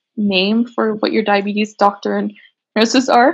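A woman with an unremarkable speaking voice and a Canadian accent, fairly high in pitch, at a moderate pace with fairly even intonation. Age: 20s. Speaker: diabetes advocate, small business owner. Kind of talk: casual interview chat.

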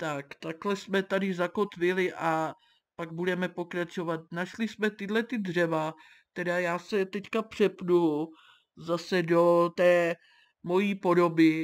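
Very slow speech from a woman at fairly low pitch with fairly even intonation, very clean recording, silent background. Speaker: gaming youtuber. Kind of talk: let's play commentary. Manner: stammering.

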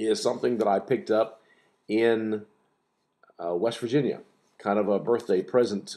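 The setting behind the voice is quiet. He is the one talking. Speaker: pipe hobbyist vlogger. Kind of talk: casual vlog chat. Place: kitchen. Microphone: webcam.

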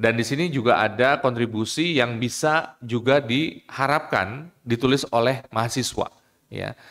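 Against a quiet background, a man speaks at a fairly slow pace. His pitch varies in an ordinary way. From Indonesia. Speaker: law lecturer association chair and moderator. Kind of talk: formal moderation. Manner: hesitant, frequent fillers. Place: hall. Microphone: podium.

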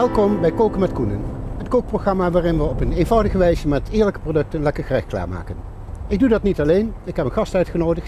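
A man talking very fast in a high voice with lively intonation, dry sound with no echo, and noticeable background noise. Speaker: cooking show host. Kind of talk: cooking demonstration. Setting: outdoors under a bridge. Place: waterside.

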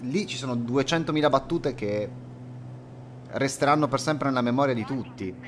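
A man's medium-pitched voice at a moderate pace, with ordinary pitch variation, long and frequent pauses, and light background noise. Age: 30s. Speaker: flight sim streamer. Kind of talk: live stream commentary. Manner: casual, hesitant fillers. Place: home room.

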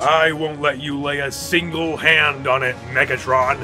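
Over clear music in the background, a man does a put-on character voice at a fairly high pitch and a moderate pace. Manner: resolute, commanding.

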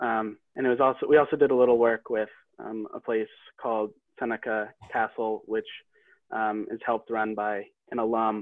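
A man at a medium pitch speaks in a flat monotone at a moderate pace, leaving long, frequent pauses, with a dry, echo-free sound and a quiet background. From New Hampshire. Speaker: college student; panelist. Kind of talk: online info session. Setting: video call. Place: home room. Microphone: video call.

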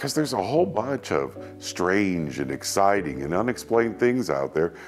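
A man talks at a moderate pace in a very deep, low voice. Faint music plays behind him. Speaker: host. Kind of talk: documentary presenter talk to camera. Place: studio. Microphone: lapel.

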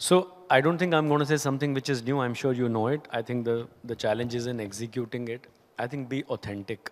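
A man talks at a fairly quick pace with an Indian accent. His pitch varies in an ordinary way. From India, Haryana. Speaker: company CEO; guest. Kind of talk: on-stage interview. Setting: stage with audience. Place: stage. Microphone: handheld.

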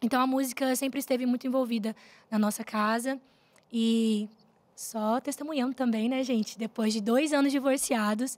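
With a high pitch, ordinary pitch variation and a moderate pace, a woman speaks. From Rondônia, Brazil (Cacoal); Rondônia, Brazil. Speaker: gospel singer; guest. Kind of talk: interview, faith testimony. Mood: warm, earnest testimony. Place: studio. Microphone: studio mic.

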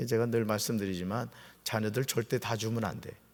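Vocal fry at a moderate pace, on a very clean recording with a silent background. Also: man. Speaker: pastor. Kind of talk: sermon. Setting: church. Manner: conversational, explanatory.

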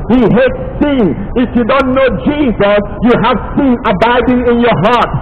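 A man talks at a moderate pace with extremely high pitch and ordinary pitch variation. There are few pauses, and background noise is clear.

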